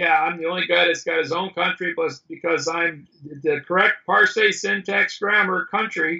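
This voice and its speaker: A man's raised, projected voice at a moderate pace, with ordinary pitch variation. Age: 60s. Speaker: self-styled judge and grammar author. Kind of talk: casual chat. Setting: video call. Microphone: bandwidth problems.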